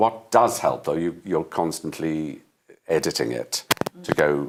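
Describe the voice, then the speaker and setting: A man speaks in a very deep, low pitch with a Welsh accent. His pace is fairly slow and his intonation lively. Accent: Welsh (Swansea). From Wales, Swansea. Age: 70s. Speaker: stage actor. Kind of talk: interview. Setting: studio.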